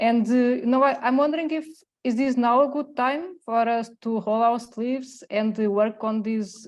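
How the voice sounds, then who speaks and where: In a quiet background, an ordinary speaking voice keeps a moderate pace and varies its pitch a normal amount. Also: woman. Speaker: therapy trainee. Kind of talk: role-play practice.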